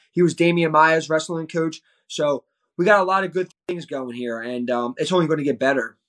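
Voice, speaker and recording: A man with an American accent uses an ordinary speaking voice with ordinary pitch variation at a fairly quick pace. The sound is dry and close, with no echo. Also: fairly high pitch for a man. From US East Coast. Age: 20s. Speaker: professional MMA fighter. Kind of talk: casual interview.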